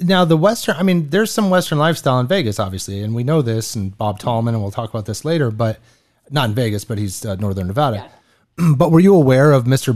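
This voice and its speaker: Energetic in tone, a man with a medium pitch talks at a very fast pace with lively intonation. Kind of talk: radio-style podcast host patter. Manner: polished, energetic, conversational.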